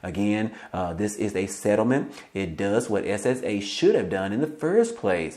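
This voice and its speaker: A man speaks with hardly any pauses in a fairly low pitch. His pitch variation is ordinary, and there is audible room echo. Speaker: YouTube news commentator. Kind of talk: casual video commentary. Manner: fast; filler-heavy, informal.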